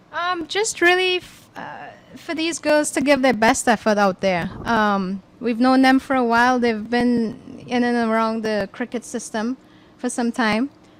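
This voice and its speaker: With a Trinidad and Tobago accent, a woman speaks at a fairly slow pace with a high pitch and lively intonation. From Tobago, Trinidad and Tobago. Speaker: cricket board player director. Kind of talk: commentary-box interview. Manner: hesitant, many fillers.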